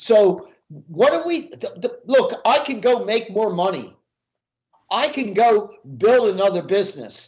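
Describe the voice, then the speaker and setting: A man at a high pitch with lively intonation, a fairly slow pace and long, frequent pauses. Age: 70s. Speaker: professional speaker and sales coach. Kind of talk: podcast interview.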